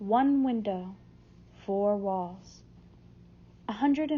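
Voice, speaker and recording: At a very slow pace, a woman speaks in a somewhat breathy voice with ordinary pitch variation. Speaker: audiobook narrator. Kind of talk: audiobook reading, first-person narration of a novel.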